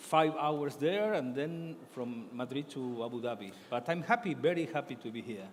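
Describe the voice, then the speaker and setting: A man talks at a moderate pace with an Argentine accent. He hardly pauses at all. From Argentina. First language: Spanish. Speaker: author and journalist. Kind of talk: book fair talk. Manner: halting.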